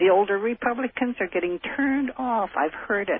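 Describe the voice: A man with a high pitch and a slightly husky edge talks at a moderate pace with ordinary pitch variation, in a dry, close sound with no echo.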